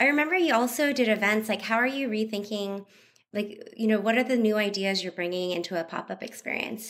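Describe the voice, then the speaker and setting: With a plain, everyday voice, a woman talks fairly quickly at a fairly high pitch, using ordinary pitch variation. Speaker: podcast co-host. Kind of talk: casual interview. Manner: casual, giggly.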